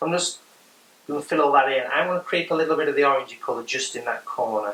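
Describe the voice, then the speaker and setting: Speaking very fast, a man with an English accent has a fairly high pitch. There is noticeable background noise. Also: ordinary pitch variation. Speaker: art teacher. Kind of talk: tutorial. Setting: hotel room. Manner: casual.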